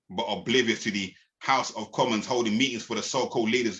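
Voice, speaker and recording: A man with a London accent speaks at a very fast pace in a bright, sharp tone. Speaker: spoken word poet. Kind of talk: spoken word performance. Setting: podcast. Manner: rhythmic.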